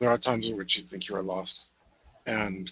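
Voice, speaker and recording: Putting on a character voice, a man speaks in a raspy, fairly low pitch with monotone, flat intonation at a moderate pace. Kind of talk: tabletop game narration. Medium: actual play. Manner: casual, dry, wry.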